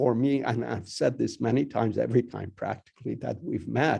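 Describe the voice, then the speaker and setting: The voice belongs to a man. He speaks with a Persian accent. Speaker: university dean. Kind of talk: welcome speech. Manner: halting, many fillers and repetitions.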